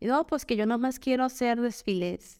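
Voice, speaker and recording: In a very clean recording with a silent background, a woman is heard speaking. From Guadalajara, Jalisco, Mexico. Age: 30s. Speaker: influencer and lactation consultant. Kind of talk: casual chat. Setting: podcast studio, video recording.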